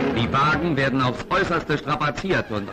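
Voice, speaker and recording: A man at a moderate pace with ordinary pitch variation, clear music in the background. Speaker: newsreel narrator. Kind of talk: 1950s newsreel narration. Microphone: old recording.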